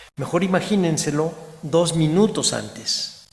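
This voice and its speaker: In a room with audible echo, a man with a fairly high pitch talks at a fairly slow pace with ordinary pitch variation. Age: 60s. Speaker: historian, museum director. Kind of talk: lecture. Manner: halting.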